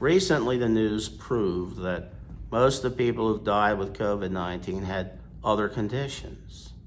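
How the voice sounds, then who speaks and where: Audible room echo surrounds this man as he speaks. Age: 60s. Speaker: priest. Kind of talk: sermon. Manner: forceful.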